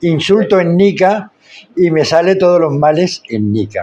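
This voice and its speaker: This man speaks with a Spanish accent. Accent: Spanish (Spain) accent, kept fully. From Spain. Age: 60s. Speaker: founder of social inclusion projects. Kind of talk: podcast interview.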